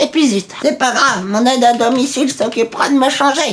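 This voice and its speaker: Putting on a character voice, a man speaks at a moderate pace in an extremely high pitch. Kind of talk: comedy sketch.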